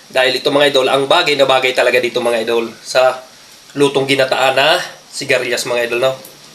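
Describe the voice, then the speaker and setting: Over noticeable background noise, a man talks at a very fast pace in a medium pitch. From Bicol, Philippines. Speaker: cooking vlogger. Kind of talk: cooking tutorial. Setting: home kitchen. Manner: animated.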